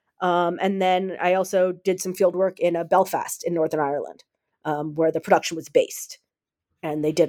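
A woman's fairly low voice with an American accent, fairly quick in pace and fairly even in intonation. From United States. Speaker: author and academic researcher. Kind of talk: interview about her book. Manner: halting with many fillers.

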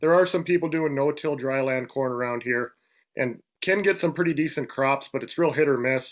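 A man with an Upper Midwest accent, fairly high-pitched, with ordinary pitch variation and a moderate pace. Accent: Upper Midwest American. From Western North Dakota. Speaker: rancher. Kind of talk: casual interview.

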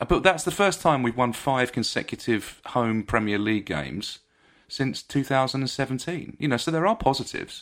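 Here is a man with an ordinary speaking voice and lively intonation. He goes at a fairly quick pace on a very clean recording with a silent background. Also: medium pitch for a man. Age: 50s. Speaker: podcast co-host. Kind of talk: casual chat.

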